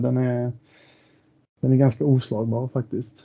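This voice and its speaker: A man talks at a moderate pace and a medium pitch. His intonation is flat and monotone. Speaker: football supporter. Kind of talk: casual interview chat.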